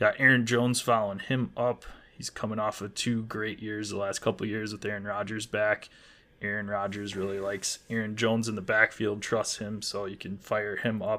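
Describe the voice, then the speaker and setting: A man speaks with an American accent in a fairly low pitch. His tone is bright and sharp, and his intonation is monotone and flat. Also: moderate pace. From Wisconsin. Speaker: fantasy football podcast co-host. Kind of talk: casual chat.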